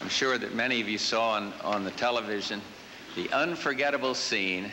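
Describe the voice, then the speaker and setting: With an American accent, a man speaks at a moderate pace and medium pitch. Noticeable background noise is present. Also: ordinary pitch variation. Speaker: US president. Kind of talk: political speech.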